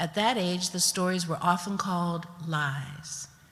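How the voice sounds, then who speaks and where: The speaker has an American accent and a fairly slow pace. Noticeable background noise runs behind the voice. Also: woman. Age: 70s. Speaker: storyteller. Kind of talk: storytelling performance.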